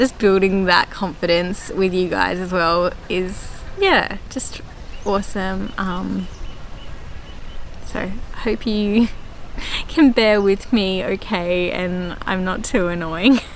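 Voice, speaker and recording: With an Australian accent, a woman speaks very slowly at a medium pitch with fairly even intonation and long, frequent pauses, over noticeable background noise. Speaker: gardening vlogger. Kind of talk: casual vlog chat. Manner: runs words together, poor diction; hesitant, many fillers.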